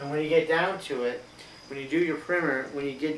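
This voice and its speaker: A man with a fairly high pitch talks amid audible room echo and noticeable background noise. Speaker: elementary school teacher. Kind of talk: recorded math lesson for students.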